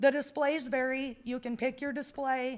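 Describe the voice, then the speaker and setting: A woman talks loudly with an American accent and a high pitch. Her intonation stays fairly even. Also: very clean recording, silent background. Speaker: community event organizer. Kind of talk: public meeting presentation. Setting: council meeting room.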